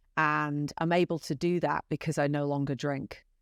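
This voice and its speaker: With a British accent, a woman speaks at a moderate pace in a very deep, low pitch, the sound dry and close with no echo. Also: very clean recording, silent background. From UK. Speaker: podcast guest, former executive. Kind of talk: casual interview.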